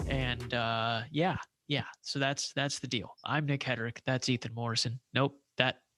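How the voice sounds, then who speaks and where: Over music in the background, a man speaks at a medium pitch and a fairly slow pace with fairly even intonation, in a dry, close sound with no echo. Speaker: sports podcast host. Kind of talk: casual chat. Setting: room at home with roommate. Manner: soft-spoken.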